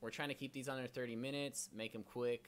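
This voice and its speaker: A man's medium-pitched voice at a fairly quick pace, with ordinary pitch variation, on a very clean recording against a silent background. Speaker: real estate brokerage host. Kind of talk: live stream presentation. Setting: live stream. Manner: fast; animated.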